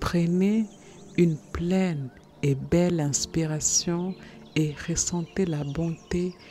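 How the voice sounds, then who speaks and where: Music plays in the background as a woman speaks very slowly. Her voice is fairly low with fairly even intonation. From Germany-based. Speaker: meditation guide, personal transformation coach. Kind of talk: guided meditation. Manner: soothing, slow.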